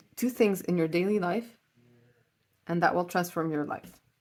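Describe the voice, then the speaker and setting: A woman with a fairly low-pitched voice talks at a moderate pace. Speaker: tarot reader. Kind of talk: pick-a-card tarot reading. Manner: casual, hesitant with filler words.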